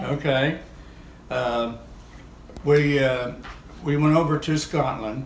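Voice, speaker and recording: A man with a medium-pitched voice talks in a monotone, flat way over noticeable background noise. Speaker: war veteran. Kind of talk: interview answer. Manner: hesitant.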